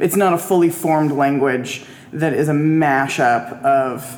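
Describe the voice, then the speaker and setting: Over noticeable background noise, a woman talks in a very deep, low pitch with ordinary pitch variation. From moved around a lot. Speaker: linguistics graduate working in wine. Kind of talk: casual chat.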